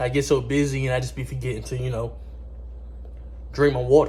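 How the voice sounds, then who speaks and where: The speaker is a man moving at a fairly brisk clip. Echo from the room can be heard. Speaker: music producer and vlogger. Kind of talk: casual vlog. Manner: fast.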